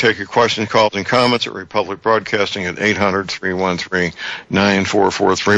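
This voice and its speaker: Noticeable background noise runs under the recording. A man speaks at a fairly low pitch. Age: 70s. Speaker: radio talk show host. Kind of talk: talk radio call-in show. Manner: halting.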